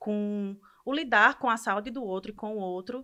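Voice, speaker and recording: Against a quiet background, the voice has a bright, sharp tone, fairly even intonation and a moderate pace. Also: woman. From Brazil, Ceará. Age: 30s. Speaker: medical student. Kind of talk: podcast interview, personal story.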